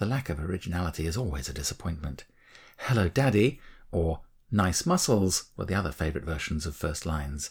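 On a very clean recording with a silent background, a man with an English accent talks at a fairly quick pace in a very deep, low pitch, somewhat breathy, with lively intonation. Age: 60s. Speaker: author and narrator. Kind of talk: reading aloud. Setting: studio.

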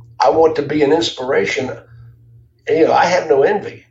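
Over audible room echo, a man with an American accent speaks at a fairly quick pace. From US South, Jacksonville, Florida. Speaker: car dealership consultant. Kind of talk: interview.

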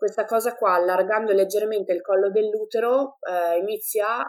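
A woman with a normal speaking voice, fairly quick and fairly even in intonation. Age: 20s. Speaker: mother sharing birth story. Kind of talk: testimony.

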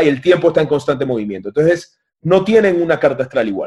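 Fairly high pitch from a man with vocal fry, lively intonation, and a fairly quick pace. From Panama. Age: 30s. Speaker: spiritual teacher. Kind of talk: casual chat. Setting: video call.

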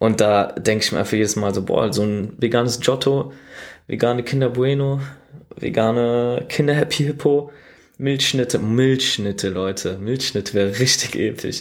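A man talks at a moderate pace. His medium-pitched voice shows ordinary pitch variation. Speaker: podcast host. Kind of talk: casual monologue. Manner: casual with many fillers.

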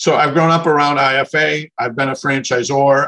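A plain, everyday voice from a man, moderate in pace, with ordinary pitch variation. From Minnesota. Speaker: franchise consultant. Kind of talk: interview.

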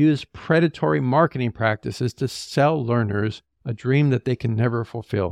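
A man speaks at a fairly slow pace against a quiet background. The sound is dry and close, with no echo. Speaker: podcast host and higher-education leader. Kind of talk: opinionated commentary, angry rant. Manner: indignant, forceful, pointed; emphatic, repeats words for stress.

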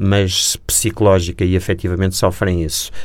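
A man's very deep, low voice at a moderate pace, monotone and flat. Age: 60s. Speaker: war reporter. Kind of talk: interview.

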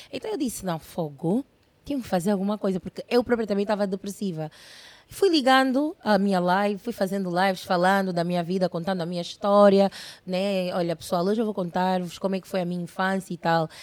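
Animated in tone, the speaker moves at a fairly quick pace with ordinary pitch variation, in a dry, close sound with no echo. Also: woman, medium pitch for a woman. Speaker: internet personality. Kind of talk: casual interview chat.

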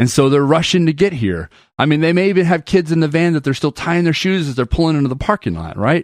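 A man is heard in a dry, close sound with no echo and a quiet background. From moved widely, teen years in Atlanta. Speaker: worship pastor. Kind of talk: casual chat.

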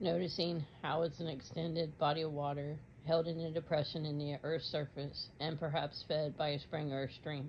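This woman's very deep, low voice is somewhat breathy. She speaks at a moderate pace with monotone, flat intonation. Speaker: meditation guide. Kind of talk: guided meditation. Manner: soft-spoken, measured, dreamy.

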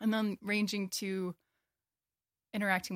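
In a very clean recording with a silent background, a woman with an American accent speaks at a moderate pace in a monotone, flat intonation, the sound dry and close with no echo. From Wisconsin, US Upper Midwest. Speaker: graduate student in ecology. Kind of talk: casual interview.

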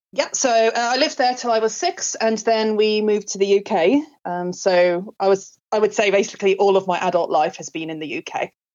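At a moderate pace with hardly any pauses, a woman with an English accent speaks at a medium pitch with lively intonation. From England. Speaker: music and drama school owner. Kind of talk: interview.

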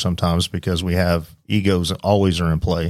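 On a very clean recording with a silent background, a man with a very deep, low pitch talks at a moderate pace with fairly even intonation. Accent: Southern US. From Oklahoma. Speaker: police lieutenant, SWAT commander. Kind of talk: casual chat. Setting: studio.

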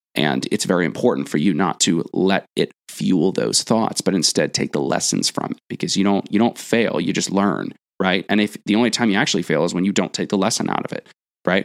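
Vocal fry marks this fairly quick delivery, which has ordinary pitch variation and a dry, close sound with no echo. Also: man, very deep, low pitch for a man. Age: 20s. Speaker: podcast co-host, former personal trainer. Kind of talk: casual chat.

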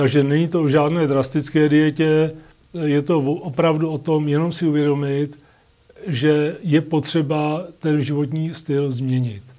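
Flat and monotone, a man speaks at a fairly high pitch and a fairly slow pace. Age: 50s. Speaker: patient with multiple sclerosis. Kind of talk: interview. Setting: studio. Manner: halting, many fillers.

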